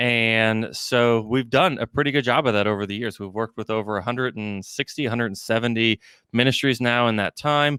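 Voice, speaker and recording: Heard in a dry, close sound with no echo on a very clean recording with a silent background, a man with an American accent talks at a fairly quick pace with a medium pitch and a bright, sharp tone. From Texas, Houston area. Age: 30s. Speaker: fundraising consultant, company president. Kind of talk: podcast interview. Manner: many fillers and restarts.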